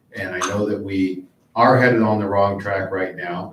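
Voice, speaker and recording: A man's fairly low voice with an American accent, moderate pace and fairly even intonation. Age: 50s. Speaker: political candidate. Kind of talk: closing statement at candidate forum. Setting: public library forum with audience.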